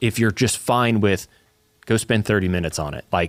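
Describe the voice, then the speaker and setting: A man talks at a moderate pace with a slight Southern US accent. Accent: slight Southern twang. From US South. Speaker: church podcast co-host. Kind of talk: casual chat.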